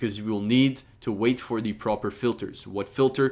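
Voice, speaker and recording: A man with an unremarkable speaking voice, medium pitch and fairly even intonation, on a very clean recording with a silent background. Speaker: trading course teacher. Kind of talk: tutorial.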